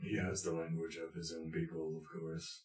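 In a put-on character voice, a man speaks very deep and low in a monotone, flat delivery. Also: moderate pace. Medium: actual play. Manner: formal, third-person.

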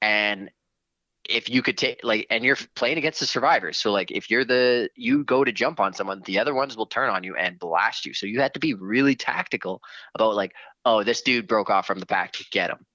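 A man talks at a moderate pace in a normal speaking voice. His pitch sits in the middle, with ordinary pitch variation. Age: 30s. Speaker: video game fan. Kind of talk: casual chat.

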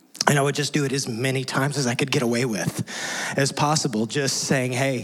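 Over noticeable background noise, a man talks at a fairly quick pace and a medium pitch, his loudness very even and his intonation fairly even. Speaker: pastor. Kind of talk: sermon. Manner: halting.

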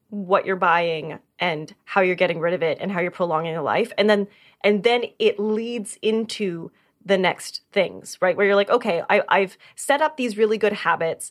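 Against a silent background in a very clean recording, a woman speaks at a fairly slow pace. Her medium pitch has ordinary pitch variation. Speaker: podcast co-host. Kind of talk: casual chat. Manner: loud.

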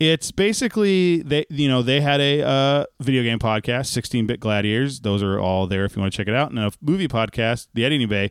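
A plain, everyday voice with lively intonation, very even loudness and hardly any pauses, in a dry, close sound with no echo. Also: man, medium pitch for a man, fairly quick pace. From Texas. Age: 30s. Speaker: podcast co-host. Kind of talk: casual chat. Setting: video call.

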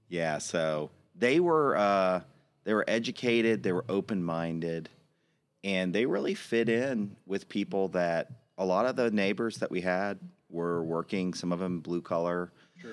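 A man's very deep, low voice with a Texan accent at a fairly slow pace. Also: ordinary pitch variation, very clean recording, silent background. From Austin, Texas. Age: 40s. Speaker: advertising agency founder. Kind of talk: casual interview.

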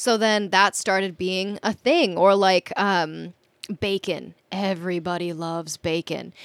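A woman's medium-pitched, ordinary speaking voice with an American accent, fairly slow and fairly even in intonation, in a very clean recording with a silent background and a dry, close sound with no echo. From Minnesota. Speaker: sailor. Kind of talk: casual chat.

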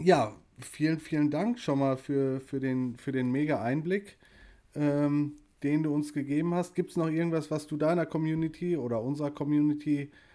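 A man talks at a fairly slow pace with a fairly high pitch. His tone is dark and mellow, his intonation fairly even. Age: 40s. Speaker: podcast host. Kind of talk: casual chat.

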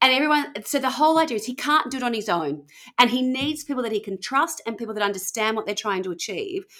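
Very fast and with very wide pitch swings, a woman with an Australian accent talks in a high, bright, sharp voice. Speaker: podcast host. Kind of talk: casual storytelling chat.

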